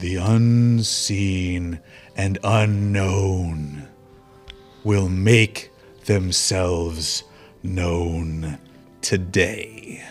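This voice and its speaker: A man puts on a booming character voice, very deep and low, with fairly even intonation at a very slow pace. Long, frequent pauses break it up while clear music plays behind. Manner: ominous.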